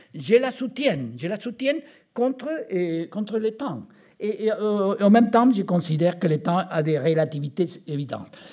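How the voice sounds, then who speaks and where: In an Argentine accent, a man speaks at a fairly slow pace. His high-pitched voice makes very wide pitch swings. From Argentina. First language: Spanish (speaking French). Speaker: physician. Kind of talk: conference talk. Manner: halting.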